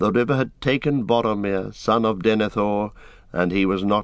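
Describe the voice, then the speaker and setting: Against a quiet background, a voice with a dramatic tone moves at a moderate pace with ordinary pitch variation. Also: man. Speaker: audiobook narrator. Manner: measured, dramatic, changing voices for characters.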